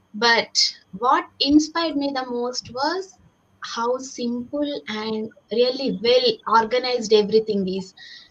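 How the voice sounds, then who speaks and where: Speaking fairly slowly in a Telugu accent, a woman uses a high pitch with ordinary pitch variation. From India. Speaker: civil engineer and online business owner. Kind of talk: panel discussion, personal story.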